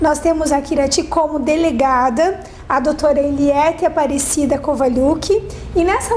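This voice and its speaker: With noticeable background noise and audible room echo, a woman talks at a moderate pace in a high voice with ordinary pitch variation. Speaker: TV talk show host. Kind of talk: TV interview.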